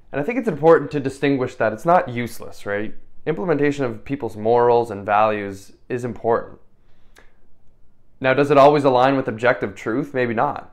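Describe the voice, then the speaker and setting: Amid audible room echo, a man speaks fairly quickly at a medium pitch. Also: ordinary pitch variation. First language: French. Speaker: lecturer. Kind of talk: lecture. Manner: casual, with frequent fillers and repetitions.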